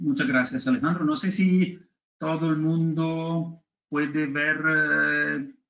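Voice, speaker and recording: Here a man talks at a very slow pace with a non-native accent. His pitch sits fairly high. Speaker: technical expert presenter. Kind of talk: webinar presentation. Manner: halting.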